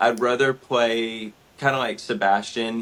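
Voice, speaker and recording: This man talks at a very slow pace with a Southern US accent. His voice is medium in pitch. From US South, southern Georgia. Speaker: actor. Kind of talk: interview.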